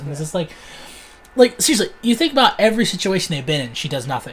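His pitch is high. The man's voice swings very widely in pitch. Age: 20s. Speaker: podcast host. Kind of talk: casual chat.

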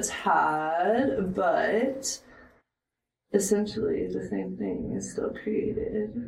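The speech moves at a very slow pace, with audible room echo. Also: woman. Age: 20s. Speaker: professional joint roller. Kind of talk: casual chat.

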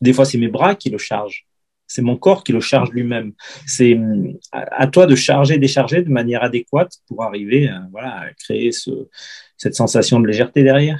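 In an ordinary speaking voice, a man at a medium pitch talks at a moderate pace with ordinary pitch variation and big swings in loudness, in a dry, close sound with no echo. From France, Ardèche. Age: 50s. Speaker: football fitness coach. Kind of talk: interview.

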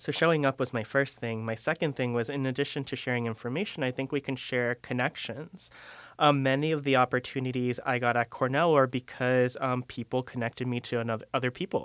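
With a normal speaking voice, a man of medium pitch talks at a fairly quick pace with fairly even intonation and hardly any pauses, in a dry, close sound with no echo and a very clean recording with a silent background. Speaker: graduate student, instructor. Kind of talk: casual conversation.

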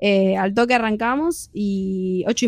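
Fairly even intonation from a fairly high-pitched woman with a Rioplatense accent, music in the background. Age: 20s. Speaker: rock band singer. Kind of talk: radio interview.

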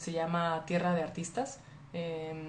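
The voice sounds animated. Room echo is audible. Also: woman. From Monterrey, Mexico. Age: 20s. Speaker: livestreamer. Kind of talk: casual chat.

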